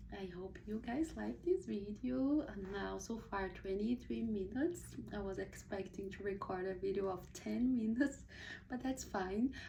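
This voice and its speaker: With a Portuguese accent, a woman speaks in a dark, mellow tone that is somewhat breathy, with audible room echo. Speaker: book reviewer, video blogger. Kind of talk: casual book review monologue. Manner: hesitant, many fillers and restarts.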